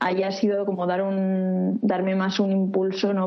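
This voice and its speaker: A woman speaks at a medium pitch. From Catalonia, Reus. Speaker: architecture student. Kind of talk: interview. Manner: halting.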